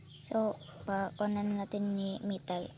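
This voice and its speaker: Noticeable background noise fills the recording. Her words come out at a very slow pace. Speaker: vlogger. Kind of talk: tutorial. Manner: halting.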